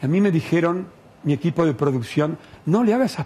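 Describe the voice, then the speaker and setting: With lively intonation, a man talks at a high pitch. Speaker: TV host. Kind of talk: TV interview show. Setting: studio. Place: studio. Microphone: headset.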